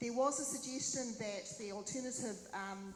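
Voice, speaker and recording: With a New Zealand accent, a woman speaks at a moderate pace and fairly even intonation. Noticeable background noise and audible room echo surround her. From New Zealand, Waipā district. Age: 60s. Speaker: mayoral candidate. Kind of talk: Q&A at candidate forum.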